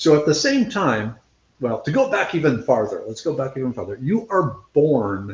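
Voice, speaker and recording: Somewhat breathy, a man with an American accent speaks at a fairly slow pace. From central Minnesota. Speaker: scientist and foraging instructor. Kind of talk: interview. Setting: live video interview. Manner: casual, conversational.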